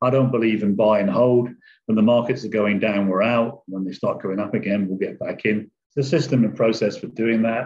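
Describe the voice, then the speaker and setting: Fairly quick speech in an English accent, with fairly even intonation. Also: man, medium pitch for a man. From England. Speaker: online trader. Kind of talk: casual interview.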